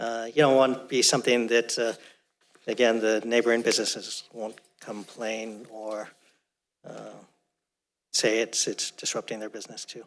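With a medium pitch, a man speaks in a monotone, flat intonation and big swings in loudness. Long, frequent pauses break up his speech. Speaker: planning commissioner. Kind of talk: public meeting discussion. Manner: fast.

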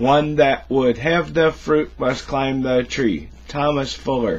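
Words come out very slowly, and the pitch varies by an ordinary amount. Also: man. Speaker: cigar vlogger. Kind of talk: casual vlog chat. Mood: joking, teasing. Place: office. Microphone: webcam.

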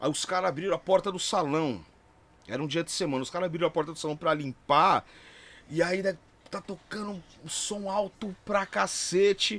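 Leaving long, frequent pauses, a man speaks in a high voice with an animated tone. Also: ordinary pitch variation, moderate pace. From São Paulo, Brazil (Barra Funda); São Paulo, Brazil. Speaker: DJ and music producer; DJ. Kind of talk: casual chat. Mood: relaxed, animated storytelling. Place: studio. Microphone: studio mic.

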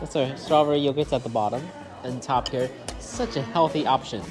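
A man speaks over clear music in the background. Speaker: food vlogger. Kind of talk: casual vlog chat. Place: cafe.

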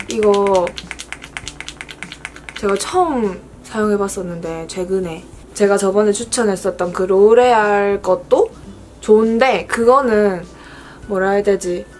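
Very slow speech from a woman with a Busan accent, long and frequent pauses, fairly even intonation, and light background noise. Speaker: beauty creator. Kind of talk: makeup tutorial, casual talk to camera. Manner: chatty, friendly. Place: home room. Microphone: phone near.

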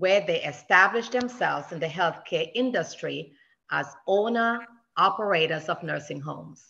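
Against a quiet background, a woman with a fairly low pitch, a bright, sharp tone and vocal fry speaks at a moderate pace with lively intonation. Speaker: church member. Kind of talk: speaker introduction. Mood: warm, affectionate, light humor. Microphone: video call.

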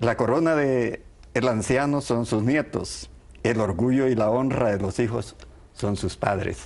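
Speaking at a fairly slow pace, a man with a fairly low pitch has a slightly mellow tone, vocal fry and ordinary pitch variation.

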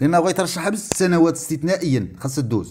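A man's high-pitched voice with a Moroccan accent at a fairly quick pace. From Morocco. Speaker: retired teachers' advocate vlogger. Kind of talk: video monologue. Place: home room. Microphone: earbuds.

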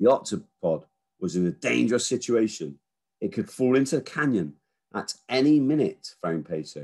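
Quiet background, natural reading voice.

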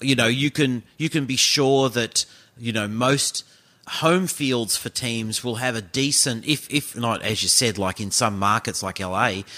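The voice has a bright, sharp tone and an Australian accent. It moves at a fairly slow pace with ordinary pitch variation. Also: man. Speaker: sports podcast host. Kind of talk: casual chat.

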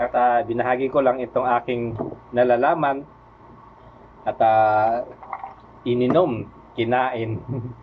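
A man speaks very slowly at a medium pitch, with long, frequent pauses. His intonation stays fairly even over noticeable background noise. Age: 50s. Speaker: vlogger. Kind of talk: tutorial. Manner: halting, many fillers.

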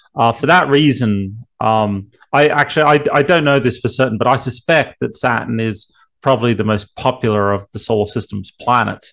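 A moderate pace and ordinary pitch variation over a quiet background. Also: man. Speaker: remote guest. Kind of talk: interview answer. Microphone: video call.

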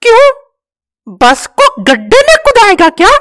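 At a moderate pace, a cartoonish character voice speaks at an extremely high pitch. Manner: scoffing, cheeky, eager.

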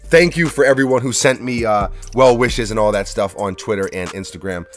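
The speech moves at a fairly quick pace with ordinary pitch variation. The sound is dry with no echo, and faint music plays in the background. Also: man. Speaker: sneaker YouTuber. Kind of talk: casual video review. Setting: home workshop studio. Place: home room.

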